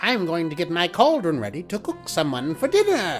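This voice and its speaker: Over clear background music, a put-on character voice at middle pitch moves at a moderate pace. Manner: muttering.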